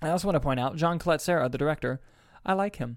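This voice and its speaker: Vocal fry in a man's voice at a very fast pace, on a very clean recording with a silent background. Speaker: independent filmmaker and podcast host. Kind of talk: casual chat. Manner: fast talker.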